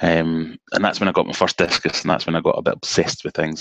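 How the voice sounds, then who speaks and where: With a Glaswegian accent, a man talks at a fairly quick pace in a dry, close sound with no echo. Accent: Glaswegian Scottish. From Scotland, Glasgow (Cambuslang). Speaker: aquarium hobbyist YouTuber. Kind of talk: casual chat. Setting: video call.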